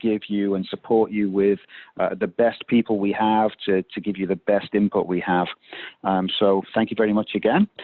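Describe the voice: A man's fairly low pitch, with a dry, close sound and no echo.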